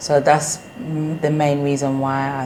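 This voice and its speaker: A woman with a British accent and a very deep, low pitch speaks in a monotone, flat intonation, with audible room echo and noticeable background noise. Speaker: business owner. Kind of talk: interview.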